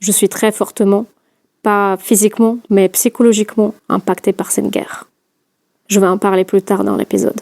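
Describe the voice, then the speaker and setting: Speaking with a Russian accent, a woman uses a medium pitch and a dark, mellow tone, with monotone, flat intonation and long, frequent pauses. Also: moderate pace, dry, close sound with no echo. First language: Russian (speaking French). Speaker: podcast host. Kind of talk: scripted narration.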